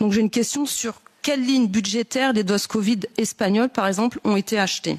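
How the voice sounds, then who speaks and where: An ordinary speaking voice from a woman, fairly high in pitch and fairly quick, with fairly even intonation, very even loudness and a dry, close sound with no echo. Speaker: politician. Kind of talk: committee hearing questions.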